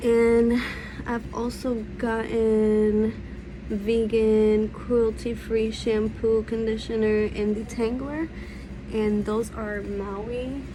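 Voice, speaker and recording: A woman whispering at a very slow pace, with audible room echo and noticeable background noise. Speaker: beauty vlogger. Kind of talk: tutorial. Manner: casual.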